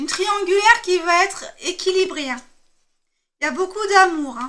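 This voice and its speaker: A woman with an extremely high voice projects it loudly at a moderate pace, her intonation lively and her volume rising and falling sharply. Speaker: tarot card reader. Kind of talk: tarot reading. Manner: hesitant with fillers.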